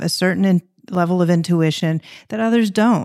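In a very clean recording with a silent background, a woman speaks at a fairly low pitch. She has an unremarkable speaking voice with ordinary pitch variation. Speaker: interior design podcast host. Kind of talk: interview, casual conversation.

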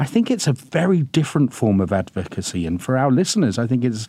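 His voice sits at a medium pitch. The man's tone comes across dark and mellow. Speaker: podcast host and immigration lawyer. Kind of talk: scripted intro then interview conversation. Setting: recording studio.

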